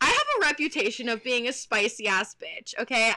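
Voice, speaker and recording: A woman with an American accent uses a raised, projected voice at a high pitch. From Texas. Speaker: podcast co-host. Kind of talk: casual chat.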